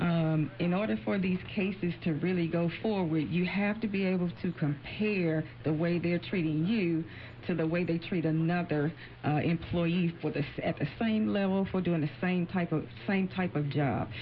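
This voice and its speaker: A woman with a somewhat breathy voice speaks at a fairly low pitch and a moderate pace, with ordinary pitch variation and very even loudness. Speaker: employment attorney. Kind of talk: radio interview. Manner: halting, repeats words.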